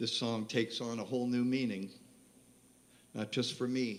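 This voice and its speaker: In an American accent, a man speaks at a fairly slow pace with medium pitch and monotone, flat intonation, with audible room echo around him. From West Virginia. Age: 70s. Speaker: singer-songwriter. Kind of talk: stage banter between songs. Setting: live venue stage with audience. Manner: halting.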